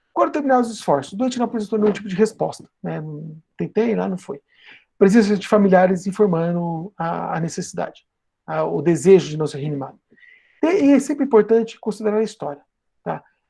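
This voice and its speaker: Though his pace is fairly quick, a man with a high pitch and a dark, mellow tone leaves long, frequent pauses, and his intonation is lively. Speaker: nursing professor and emergency nurse. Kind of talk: lecture.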